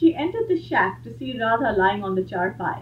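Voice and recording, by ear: A natural voice carries this reading aloud.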